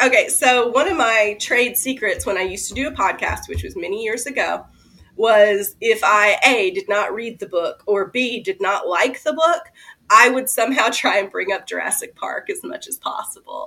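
A woman talks with a Kentucky accent and lively intonation, her loudness swinging widely. Music plays in the background. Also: fairly high pitch for a woman, moderate pace. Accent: Southern US (Kentucky). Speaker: horror novelist. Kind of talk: casual chat.

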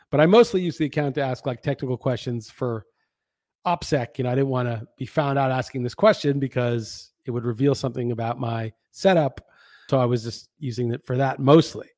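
A plain, everyday voice at a fairly quick pace, with ordinary pitch variation and a dry, close sound with no echo. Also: man, medium pitch for a man. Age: 50s. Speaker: podcast host. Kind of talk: solo monologue. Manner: casual, conversational.

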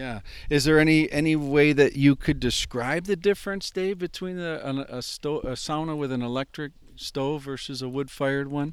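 At a moderate pace, a man talks in a normal speaking voice, fairly high in pitch with ordinary pitch variation. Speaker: podcast host. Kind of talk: casual interview. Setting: outdoors by a lake sauna.

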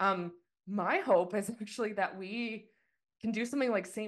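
A woman with a Canadian accent in a normal speaking voice, at a medium pitch with fairly even intonation, over a quiet background. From Canada. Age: 30s. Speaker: skeleton racer. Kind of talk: interview.

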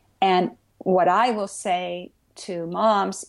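A woman's medium-pitched voice with vocal fry, in a very clean recording over a silent background. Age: 60s. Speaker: Zen Buddhist priest and author. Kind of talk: interview conversation.

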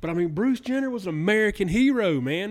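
With music in the background, a man in a Southern US accent speaks at a moderate pace with very wide pitch swings. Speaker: podcast host. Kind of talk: casual chat.

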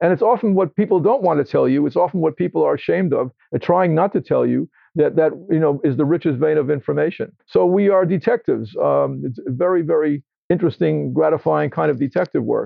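A man at a fairly quick pace, with very even loudness. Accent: American. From New York City (Queens). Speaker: homeopath and author. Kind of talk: interview. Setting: indoors, in a room.

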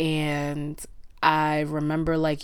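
A woman speaks at a very slow pace with a very deep, low pitch. Her intonation stays fairly even. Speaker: podcast host. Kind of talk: solo monologue podcast, casual. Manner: chill, monotone; casual, laughs often.

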